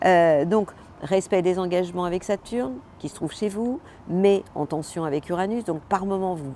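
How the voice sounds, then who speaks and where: A woman at a medium pitch, moderate pace, ordinary pitch variation and big swings in loudness. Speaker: astrologer. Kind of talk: weekly horoscope monologue. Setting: outdoors. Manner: animated.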